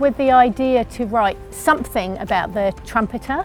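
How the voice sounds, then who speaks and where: A woman with a New Zealand accent speaks over music in the background. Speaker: poet and writer. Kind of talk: interview answer.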